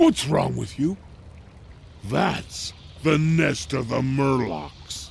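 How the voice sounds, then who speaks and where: Put-on character voice from a man, very slow with long, frequent pauses, over clear background noise. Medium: video game. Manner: blunt, terse.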